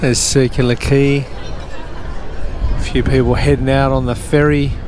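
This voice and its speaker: Crowd noise fills the background and the room echo is audible. A man with an Australian accent speaks fairly slowly at a very even loudness. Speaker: walking tour vlogger. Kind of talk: casual walking vlog narration. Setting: outdoors, city walk. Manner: slurring words.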